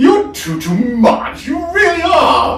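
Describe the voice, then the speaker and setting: A man puts on a character voice at an extremely high pitch, swinging very widely up and down. He goes at a very slow pace with a slight echo. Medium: read story. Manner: trilling, gushing.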